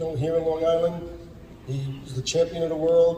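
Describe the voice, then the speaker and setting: Speaking in a flat monotone with an American accent, the voice comes through noticeable background noise and audible room echo. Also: man. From New York, the Bronx. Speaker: boxing promoter. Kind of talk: press conference.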